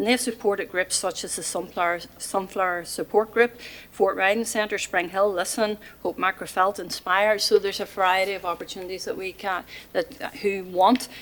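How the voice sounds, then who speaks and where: A woman talks with a Mid Ulster accent at a medium pitch. Her pace is fairly quick and her intonation fairly even. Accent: Northern Irish (Mid Ulster). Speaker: volunteer centre representative. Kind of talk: presentation to council committee. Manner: fast; hesitant, many fillers.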